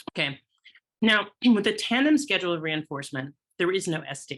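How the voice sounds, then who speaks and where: In a bright, sharp tone, a woman with a fairly low pitch speaks with very wide pitch swings. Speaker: exam prep tutor. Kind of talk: webinar lecture. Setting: online webinar.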